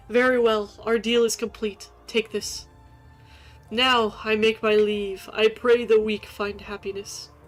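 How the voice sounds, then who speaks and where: Over faint background music, a woman puts on a character voice, fairly high-pitched and flat in monotone, at a fairly slow pace. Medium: game stream. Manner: grandiose archaic phrasing.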